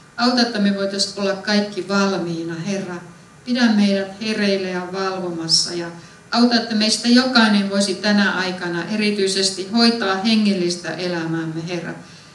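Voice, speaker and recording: A woman speaks at a moderate pace with fairly even intonation. Audible room echo surrounds her voice. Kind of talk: spoken prayer. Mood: calm, reverent. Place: church.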